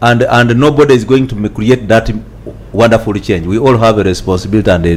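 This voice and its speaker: Noticeable background noise sits behind a man speaking at a fairly quick pace. His pitch is fairly low, with ordinary pitch variation. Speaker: justice sector government official. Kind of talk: panel interview. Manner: halting, repetitive.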